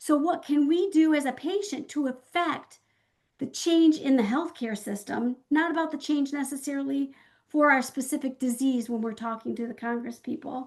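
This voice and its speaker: Against a quiet background, a woman with a Midwestern accent and a high pitch talks at a moderate pace. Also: ordinary pitch variation. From US Midwest, Michigan. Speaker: patient advocate. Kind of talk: virtual town hall talk.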